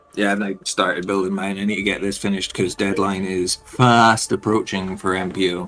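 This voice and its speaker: Over noticeable background noise, a man speaks at a fairly quick pace with hardly any pauses. His pitch is fairly low, and his intonation is monotone and flat. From Scotland. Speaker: miniature painting streamer. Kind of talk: casual chat.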